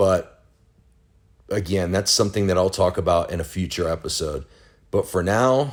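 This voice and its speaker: The speech moves at a moderate pace with long, frequent pauses and ordinary pitch variation. The recording is very clean, with a silent background. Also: man, very deep, low pitch for a man. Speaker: podcaster. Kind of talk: solo podcast monologue. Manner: halting, stammering.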